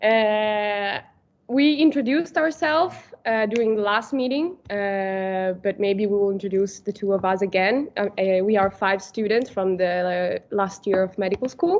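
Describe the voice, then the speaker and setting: An ordinary speaking voice with lively intonation moves at a moderate pace, its loudness very even throughout. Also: woman, medium pitch for a woman. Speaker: medical student moderator. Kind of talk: online seminar introduction.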